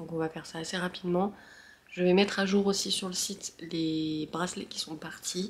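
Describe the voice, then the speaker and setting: A somewhat breathy voice talks at a moderate pace in a monotone, flat intonation. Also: woman. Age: 20s. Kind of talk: casual vlog. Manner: hesitant, many fillers.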